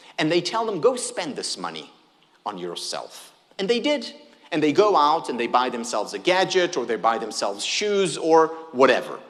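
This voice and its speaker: A fairly high-pitched man with an Israeli accent, animated and at a moderate pace, with very wide pitch swings, audible room echo and noticeable background noise. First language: Hebrew. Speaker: happiness researcher, keynote speaker. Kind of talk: keynote talk. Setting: stage with audience.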